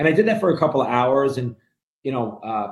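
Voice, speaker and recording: With a New York accent, a man talks at a fairly quick pace in a somewhat breathy, fairly high voice with lively intonation. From New York City (Brooklyn). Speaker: mortgage lender and real estate investor. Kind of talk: interview.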